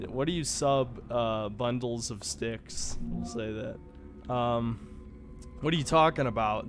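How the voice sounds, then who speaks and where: A man talks at a fairly slow pace as music plays behind him. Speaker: gaming streamer. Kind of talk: casual live stream chat. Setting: live stream. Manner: casual, swearing-laden.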